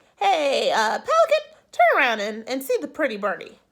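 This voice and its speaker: Using a put-on character voice, a woman sounds high-pitched and squeaky. She goes at a moderate pace. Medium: read story. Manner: hesitant, stammering.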